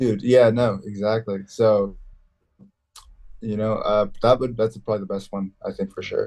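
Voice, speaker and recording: A man speaks with a dark, mellow tone at a moderate pace, his intonation fairly even. He leaves long, frequent pauses. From Mexican-American background, US. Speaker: professional MMA fighter. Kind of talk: interview, casual chat. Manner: casual, halting with fillers.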